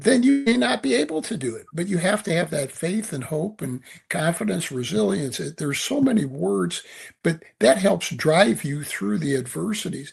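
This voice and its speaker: With vocal fry, this man's fairly high voice swings very widely in pitch. He keeps a moderate pace. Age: 70s. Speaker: author and leadership speaker. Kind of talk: podcast interview. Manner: halting, repeats words.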